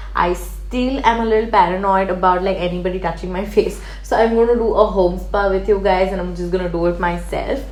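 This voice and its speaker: Talking at a fairly quick pace with hardly any pauses, a woman is heard through audible room echo and noticeable background noise. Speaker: beauty YouTuber. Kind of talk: product review. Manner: hyper, fast.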